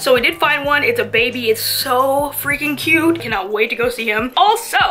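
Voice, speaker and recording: Raised, projected voice at a moderate pace, with very wide pitch swings over light background noise. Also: woman. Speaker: vlogger. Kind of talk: casual vlog chat. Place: home room. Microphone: phone near.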